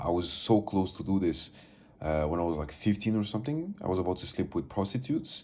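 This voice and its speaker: A man speaks in a Moroccan accent at a moderate pace. His tone is dark and mellow. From Morocco. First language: Moroccan Arabic (Darija). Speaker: vlogger. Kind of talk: casual video diary monologue. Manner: halting, many fillers.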